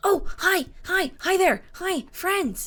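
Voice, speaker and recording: Extremely high-pitched, a put-on character voice. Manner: cheery, greeting.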